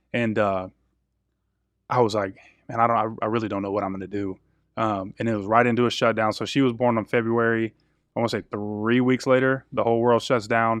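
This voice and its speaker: A man with an American accent, flat monotone intonation, a fairly quick pace, long, frequent pauses, and a quiet background. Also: medium pitch for a man. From Texas (Killeen). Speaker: former pro football player, real estate agent. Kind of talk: interview.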